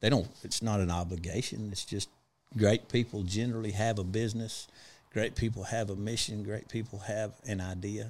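In a Texas accent, a man speaks in a fairly low, flat monotone on a very clean recording with a silent background. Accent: Texas drawl. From West Texas (Big Spring). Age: 40s. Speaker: trucking fleet owner. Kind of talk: casual interview chat. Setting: studio.

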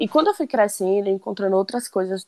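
She speaks at a fairly quick pace in an ordinary speaking voice, a woman pitched in the medium range. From Conceição do Coité, Bahia, Brazil. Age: 20s. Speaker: podcast co-host, friend. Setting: remote recording.

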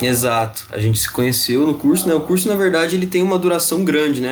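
A man's fairly high pitch and lively intonation amid noticeable background noise and audible room echo. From interior São Paulo state, Ribeirão Preto. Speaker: podcast co-host. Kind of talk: casual chat.

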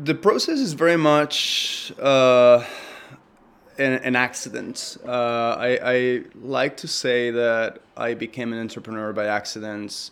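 Talking at a very slow pace, a man with a Spanish accent holds a medium pitch with ordinary pitch variation. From Spain, Madrid. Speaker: entrepreneur and filmmaker. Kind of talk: interview. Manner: halting, many fillers and repetitions.

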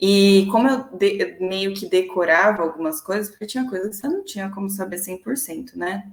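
A woman at medium pitch with an unremarkable speaking voice, ordinary pitch variation, a moderate pace and hardly any pauses. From São Paulo ABC region, Brazil. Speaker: marketing professional. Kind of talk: casual interview.

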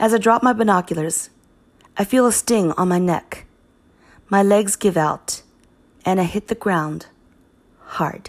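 In a very clean recording with a silent background, a woman with a medium-pitched voice talks at a fairly slow pace, using ordinary pitch variation and long, frequent pauses. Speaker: audiobook narrator. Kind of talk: audiobook narration, first-person reading. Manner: calm, measured, clinical tone.

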